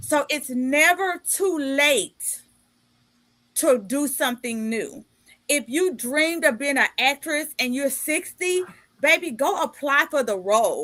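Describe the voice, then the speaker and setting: Bright and sharp in tone, a woman speaks at a high pitch with lively intonation. Her delivery is animated yet fairly slow. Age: 50s. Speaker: podcast host and life coach. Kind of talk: casual interview chat.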